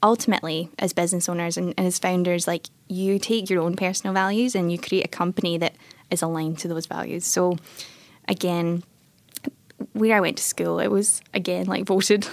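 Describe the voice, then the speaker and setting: The speaker has a strong Scottish accent and a fairly quick pace. Intonation stays fairly even. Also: woman, fairly low pitch for a woman. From Scotland, Airdrie (North Lanarkshire). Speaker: tech entrepreneur, former software engineer. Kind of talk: interview. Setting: studio.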